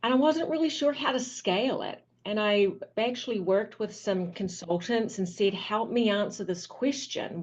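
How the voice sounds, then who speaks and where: With a slight New Zealand accent, the speaker keeps a moderate pace and a lively intonation. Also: woman. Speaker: physical therapy business owner. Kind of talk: interview.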